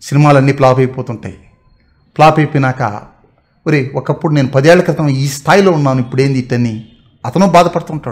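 A man with a fairly high pitch and a somewhat breathy voice. His pitch varies in an ordinary way against a quiet background. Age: 30s. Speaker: YouTube motivational talker. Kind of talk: motivational monologue. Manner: halting. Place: home room. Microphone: camera far.

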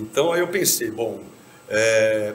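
A man's voice over light background noise. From Brazil. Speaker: drummer; podcast guest. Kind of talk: interview. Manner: hesitant, many filler words. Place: stage.

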